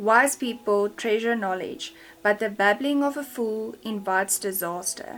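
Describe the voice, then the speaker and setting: Speaking at a fairly slow pace, a woman uses a fairly high pitch with ordinary pitch variation. She talks in a South African accent. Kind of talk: scripture reading.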